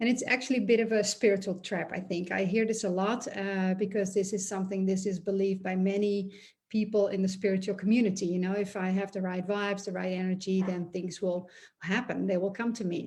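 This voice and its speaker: A woman with a non-native accent talks at a fairly quick pace in a medium pitch. Her somewhat breathy voice stays monotone and flat. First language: not English. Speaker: energy healer and business coach. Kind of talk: monologue video talk. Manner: hesitant, many fillers.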